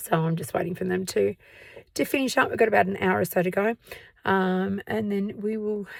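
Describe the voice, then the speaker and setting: Ordinary pitch variation marks a woman's speech in an Australian accent. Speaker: museum tour guide and history vlogger. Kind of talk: casual vlog talk to camera. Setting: outdoors at night. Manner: hesitant, many fillers.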